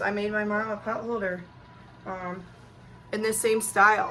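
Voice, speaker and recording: A woman with a fairly high pitch, heard over noticeable background noise. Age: 30s. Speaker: sewing channel host. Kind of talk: tutorial. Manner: casual, with many fillers.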